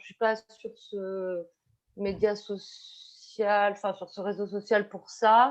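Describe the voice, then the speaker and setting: This woman's voice sits at a fairly high pitch. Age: 50s. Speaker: teacher. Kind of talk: online panel discussion. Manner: halting, many fillers and repetitions.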